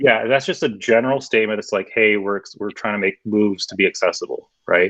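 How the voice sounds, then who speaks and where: A man talks at a fairly quick pace in a dry, close sound with no echo. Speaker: web designer. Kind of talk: meetup presentation Q&A. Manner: fast.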